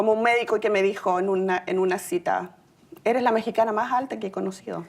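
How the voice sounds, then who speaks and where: A woman with a Chilean accent at medium pitch and a very fast pace, with ordinary pitch variation. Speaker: city employee sharing immigrant story. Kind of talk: personal testimony speech.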